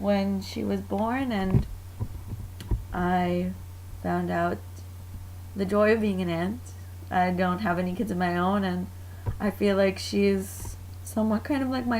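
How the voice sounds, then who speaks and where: Someone with an American accent speaks at a very slow pace, with audible room echo. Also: woman. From Mexican American, US. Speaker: student. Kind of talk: class presentation, personal testimonial. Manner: casual, with fillers.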